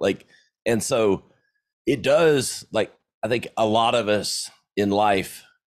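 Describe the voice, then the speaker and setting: With a slight Southern US accent, this man speaks at a fairly low pitch with vocal fry and very wide pitch swings, in a very clean recording with a silent background. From US South, South Carolina. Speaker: entrepreneur and podcaster. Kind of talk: interview. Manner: casual.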